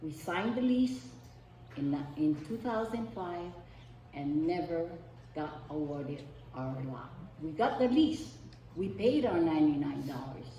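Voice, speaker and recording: With a Hawaiian accent, a woman with a very deep, low voice speaks at a fairly slow pace with very wide pitch swings and long, frequent pauses, amid noticeable background noise and audible room echo. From Hawaii, East Maui. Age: 70s. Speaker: community member giving testimony. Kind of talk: public testimony.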